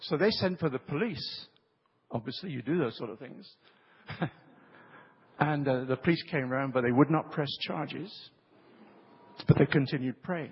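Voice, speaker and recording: With a British accent, a man speaks at a moderate pace in a fairly high, somewhat breathy voice with ordinary pitch variation, long, frequent pauses and big swings in loudness. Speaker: preacher. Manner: storytelling, engages audience with questions.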